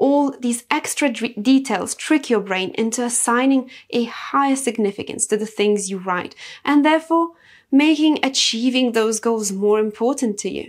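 A woman with a Lithuanian accent speaks at a high pitch. Her pace is moderate and her pitch varies in an ordinary way. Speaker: self-improvement podcaster. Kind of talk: motivational monologue.

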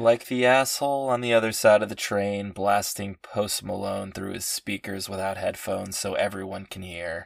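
A man speaks in a plain, everyday voice at a fairly low pitch, with fairly even intonation. He barely pauses, and his loudness swings widely. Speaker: podcast meditation guide. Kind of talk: comedic guided meditation parody. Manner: slow, soothing instructions broken by sudden exasperated outbursts.

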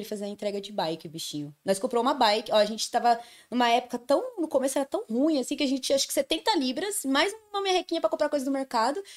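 Talking at a very fast pace, a woman sweeps her pitch through very wide swings. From Brazil, Santo André (São Paulo ABC region). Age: 20s. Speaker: podcast guest. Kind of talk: casual chat, personal stories. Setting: live-streamed video podcast.

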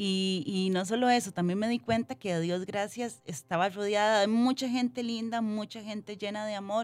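A woman's plain, everyday voice at a moderate pace, with ordinary pitch variation and hardly any pauses. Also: medium pitch for a woman. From Costa Rica, Limón. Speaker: model and entrepreneur. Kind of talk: interview.

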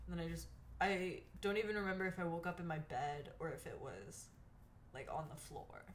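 In a room with audible echo, a woman talks at a fairly quick pace. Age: 20s. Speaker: podcast co-host. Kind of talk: casual chat. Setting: at home by a window.

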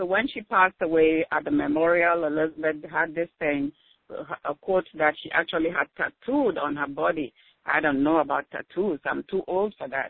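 A woman with a Cameroonian accent, fairly low pitch, ordinary pitch variation and a moderate pace. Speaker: nurse and contributing author. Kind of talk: interview. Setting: phone call. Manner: halting.

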